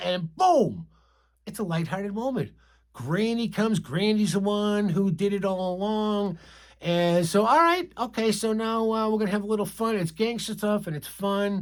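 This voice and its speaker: With an American accent, a man speaks at a moderate pace and a high pitch on a very clean recording with a silent background. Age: 60s. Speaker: movie reaction youtuber. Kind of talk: casual movie review monologue. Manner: hesitant, many fillers and restarts.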